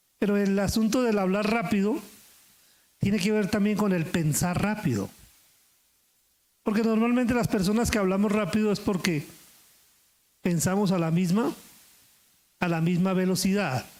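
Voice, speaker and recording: Loudness stays very even while the speech moves at a moderate pace, broken by long, frequent pauses. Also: man. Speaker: pastor. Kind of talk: sermon.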